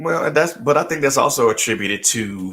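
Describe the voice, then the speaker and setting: A man with an American accent speaks in a fairly low pitch and a bright, sharp tone, recorded very cleanly against a silent background. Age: 40s. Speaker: radio host. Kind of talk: interview.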